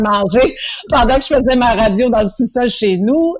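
Ordinary pitch variation and a moderate pace amid noticeable background noise. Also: woman. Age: 30s. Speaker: singer and TV host. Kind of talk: casual interview.

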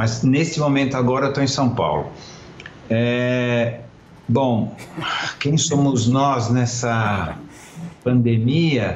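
Over noticeable background noise and audible room echo, a man talks at a very slow pace and a medium pitch, with ordinary pitch variation, very even loudness, and long, frequent pauses. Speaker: former advertising executive. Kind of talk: interview.

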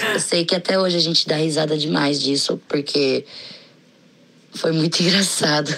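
Noticeable background noise accompanies a woman with a very deep, low voice, very even loudness and fairly even intonation. She keeps a moderate pace with long, frequent pauses. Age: 20s. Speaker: podcast listener. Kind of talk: recorded personal story.

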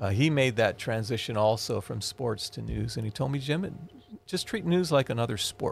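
Lively intonation marks this man's medium-pitched voice, which carries vocal fry. He speaks at a moderate pace. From Hawaii. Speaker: television news reporter and former sportscaster. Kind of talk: casual interview chat. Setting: studio.

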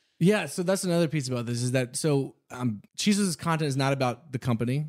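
This man has an unremarkable speaking voice with an American accent and a medium pitch. He talks at a fairly quick pace with lively intonation. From Texas, Houston. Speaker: boot company founder. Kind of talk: interview. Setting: studio.

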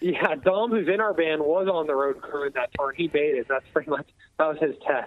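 Speaking in an unremarkable speaking voice, a man talks at a fairly quick pace with a fairly high pitch and ordinary pitch variation. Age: 20s. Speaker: metal band musician and vocalist. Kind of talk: casual interview.

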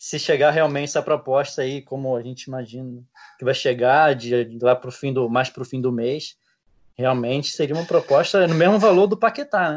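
In an unremarkable speaking voice, a man talks at a moderate pace, fairly high in pitch with ordinary pitch variation. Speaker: sports reporter. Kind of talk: casual chat.

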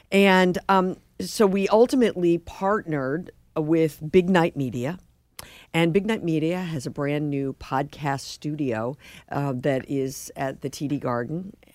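With an American accent, a woman with a very deep, low voice speaks fairly slowly and with lively intonation on a very clean recording with a silent background. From US Midwest, St. Louis. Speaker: TV and radio journalist. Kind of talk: interview. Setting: studio.

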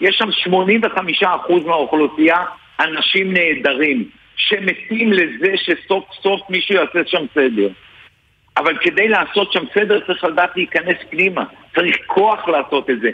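A man talks at a fairly slow pace with a high pitch. His pitch varies in an ordinary way and his loudness stays very even. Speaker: politician and retired general. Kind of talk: radio interview.

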